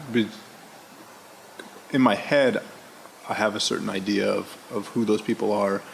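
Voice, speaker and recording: A man keeps a moderate speed but stops often for long pauses, with background noise clearly heard. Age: young. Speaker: podcast host. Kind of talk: interview conversation. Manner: hesitant, many fillers.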